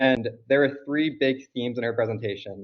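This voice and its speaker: Here a man speaks at a medium pitch. His pitch varies in an ordinary way. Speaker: conference attendee giving recap on group call. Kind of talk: conference recap presentation on call. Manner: fast.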